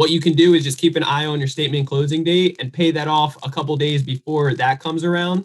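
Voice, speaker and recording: Talking at a very fast pace, a man with a fairly high, somewhat breathy voice keeps a monotone, flat intonation. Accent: American. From New Jersey. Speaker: real estate investor and credit expert. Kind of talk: podcast interview.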